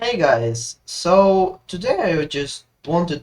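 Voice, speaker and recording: The speaker has a Russian accent. The pace is very slow. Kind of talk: casual gaming commentary.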